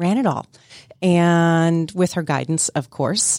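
A woman with an unremarkable speaking voice, fairly low in pitch, talks at a fairly slow pace with fairly even intonation in a dry, close sound with no echo. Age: 50s. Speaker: nonprofit leader. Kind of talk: interview. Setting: studio.

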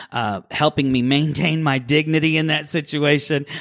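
Speaking at a moderate pace, a man uses an ordinary speaking voice with a fairly high pitch. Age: 40s. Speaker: radio host. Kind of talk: radio interview. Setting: studio.

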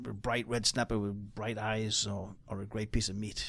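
Here a man speaks in a Geordie accent at a fairly low pitch. The recording is very clean, with a silent background. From Newcastle, northeast England. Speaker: chef and restaurant owner. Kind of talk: radio interview. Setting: studio.

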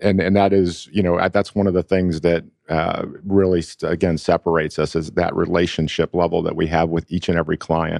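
A man with an American accent speaks in a very deep, low pitch and monotone, flat intonation. His pace is fairly quick, with hardly any pauses. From Buffalo, New York. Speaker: IT company CEO. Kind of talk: radio interview. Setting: studio.

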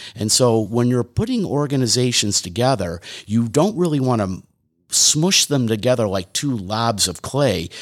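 A man with an American accent speaks at a moderate pace, at medium pitch, with lively intonation. He has an unremarkable speaking voice on a very clean recording with a silent background. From Detroit, Michigan, US. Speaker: leadership consultant. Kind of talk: radio interview. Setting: studio.

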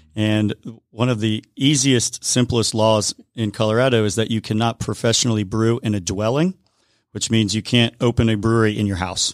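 With an American accent and a normal speaking voice, a man speaks at a moderate pace and medium pitch with fairly even intonation, in a very clean recording with a silent background and a dry, close sound with no echo. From US South, Atlanta area. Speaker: brewery owner. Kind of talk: radio interview. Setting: studio.

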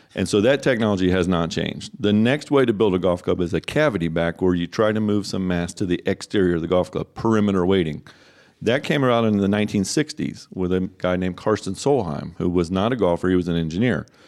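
Speaking at a very fast pace with hardly any pauses, a man has a very deep, low voice. His pitch varies in an ordinary way on a very clean recording with a silent background. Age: 50s. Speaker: golf club fitter. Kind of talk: radio interview. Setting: studio.

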